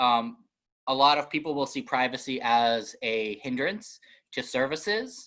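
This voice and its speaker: Against a quiet background, a man with an American accent talks in a bright, sharp tone with lively intonation. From northeastern US. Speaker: librarian. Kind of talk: webinar presentation. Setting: online webinar. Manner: fast; hesitant, many fillers.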